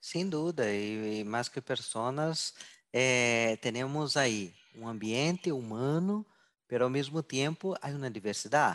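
A man with an ordinary speaking voice, medium pitch and lively intonation, at a fairly slow pace over a quiet background. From southern Brazil. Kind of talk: interview. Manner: mixes Portuguese and Spanish.

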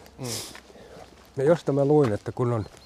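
With noticeable background noise in the recording, the speaker shows ordinary pitch variation. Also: man. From Finland, Loviisa. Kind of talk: walking interview. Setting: outdoors, walking.

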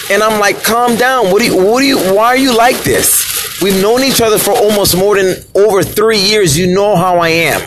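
Over noticeable background noise and audible room echo, a man speaks at a high pitch and moderate pace with hardly any pauses, ordinary pitch variation and very even loudness. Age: 40s. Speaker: podcast host. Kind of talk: casual monologue. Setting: in a car.

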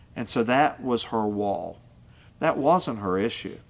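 Speaking at a moderate pace with an Appalachian accent and ordinary pitch variation, this voice comes through on a very clean recording with a silent background. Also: man. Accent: Appalachian American. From West Virginia coal fields. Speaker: pastor. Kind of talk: podcast teaching monologue.

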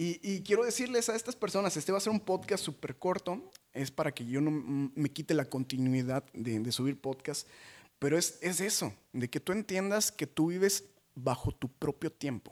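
An animated tone with very wide pitch swings at a moderate pace, in a dry, close sound with no echo. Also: man, fairly high pitch for a man. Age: 20s. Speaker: podcast host and motivational speaker. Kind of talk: casual monologue.

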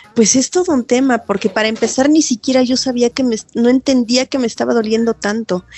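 Her voice is high-pitched, and this woman speaks at a fairly quick pace with hardly any pauses and ordinary pitch variation. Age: 40s. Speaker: CrossFit athlete and training facilitator. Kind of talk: personal testimony interview.

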